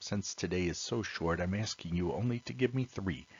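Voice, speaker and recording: Speaking at a moderate pace, a man uses lively intonation with vocal fry. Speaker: teacher. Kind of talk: lecture. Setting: recorded video lesson.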